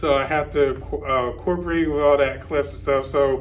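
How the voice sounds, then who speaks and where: Ordinary pitch variation, with audible room echo. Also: man. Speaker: YouTuber covering a fan convention. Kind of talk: vlog to camera. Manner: halting, stumbling over words.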